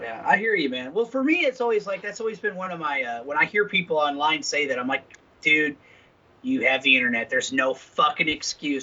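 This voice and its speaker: The speaker moves at a fairly quick pace with very wide pitch swings, over noticeable background noise. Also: man, high pitch for a man. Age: 50s. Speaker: podcast co-host. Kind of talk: casual profane banter. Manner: animated, hesitant with fillers.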